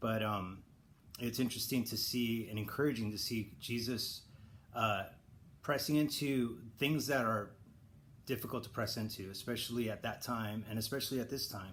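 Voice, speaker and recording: With an American accent, a man talks at a moderate pace and medium pitch, keeping his intonation fairly even. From Southern California. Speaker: church elder giving devotional. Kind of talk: devotional talk. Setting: online video recording. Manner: casual with fillers and false starts.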